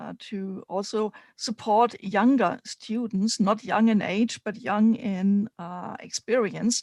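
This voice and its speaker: Delivered at a very slow pace in a German accent, the speech comes through on a very clean recording with a silent background. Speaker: spiritual mentor and teacher. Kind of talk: live stream panel chat. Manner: halting, many fillers.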